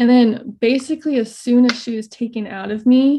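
A woman with an American accent speaks in a somewhat breathy voice with fairly even intonation against a quiet background. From Idaho. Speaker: mother sharing birth stories. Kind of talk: interview testimony.

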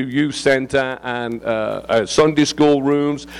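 A man with an English accent speaks at a moderate pace and medium pitch. Noticeable background noise is present. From England. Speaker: visiting preacher. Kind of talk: sermon. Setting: church. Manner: animated.

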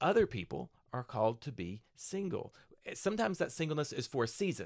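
In a very clean recording with a silent background, a man speaks very fast at a fairly high pitch, with very wide pitch swings and vocal fry. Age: 50s. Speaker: pastor. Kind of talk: casual chat.

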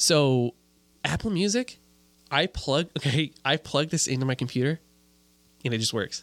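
A man with an American accent and a fairly high pitch, at a moderate pace with ordinary pitch variation, very even loudness and long, frequent pauses, in a dry, close sound with no echo. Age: 20s. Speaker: video producer. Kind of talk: casual chat.

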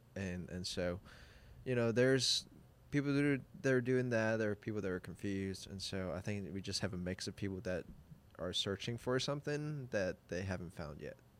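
The recording is very clean, with a silent background. A man with a plain, everyday voice and fairly low pitch speaks at a fairly quick pace. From Hong Kong, moved to US as teen. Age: 20s. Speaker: church creative director. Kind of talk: casual interview chat. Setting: studio.

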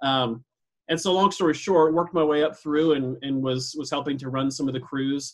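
An unremarkable speaking voice from a man with an American accent, fairly high pitch, fairly even intonation and a moderate pace. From US Pacific Northwest, northern Idaho. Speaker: real estate sales leader and trainer. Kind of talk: casual interview.

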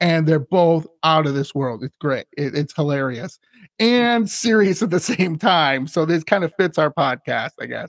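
Recorded with a dry, close sound and no echo, a man with an unremarkable speaking voice talks at a fairly high pitch and fairly slow pace, his intonation lively. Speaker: podcast host. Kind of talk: casual interview chat.

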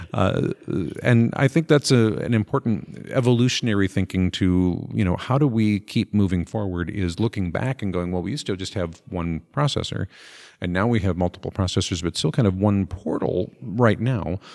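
A man with an American accent speaks at a fairly low pitch and a moderate pace, with lively intonation, in a plain, everyday voice. The sound is dry and close with no echo, in a very clean recording with a silent background. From Minnesota. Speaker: podcast host, nonprofit consultant. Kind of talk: casual interview.

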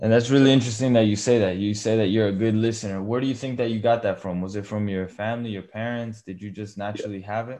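A man's fairly low voice at a very fast pace. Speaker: podcast host. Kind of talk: interview, casual chat. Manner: friendly, upbeat.

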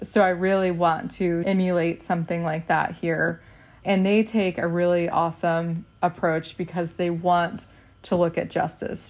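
A woman with an American accent, fairly low in pitch, at a moderate pace, with monotone, flat intonation. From Texas. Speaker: nutritionist in dietitian training, food policy organizer. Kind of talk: casual podcast interview.

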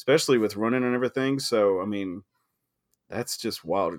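A man with an ordinary speaking voice talks at a fairly quick pace in a medium pitch with ordinary pitch variation, the sound dry and close with no echo on a very clean recording over a silent background. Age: 30s. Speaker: podcast host. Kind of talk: casual chat.

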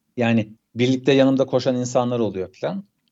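A man speaks at a moderate pace and medium pitch. He has a normal speaking voice. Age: 30s. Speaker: documentary graphics animator and cyclist. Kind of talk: casual interview.

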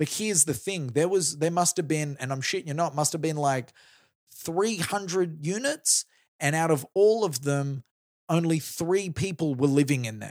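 With an Australian accent, a man talks at a moderate pace in a fairly high voice with ordinary pitch variation. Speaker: comedian and radio host. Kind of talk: casual chat. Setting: studio.

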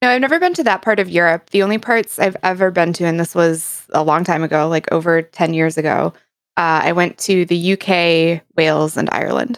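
In an ordinary speaking voice, a woman with an American accent talks at a fairly quick pace and fairly low pitch, with ordinary pitch variation and very even loudness, on a very clean recording with a silent background. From United States. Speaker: variety streamer. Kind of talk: casual chat.

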